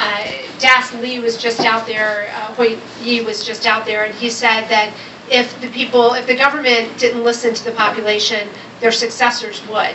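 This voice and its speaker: A woman speaks at a moderate pace in a fairly high pitch, her intonation monotone and flat. Noticeable background noise and audible room echo fill the recording. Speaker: development agency official, panelist. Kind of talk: panel talk. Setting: panel event with microphone. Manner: loud.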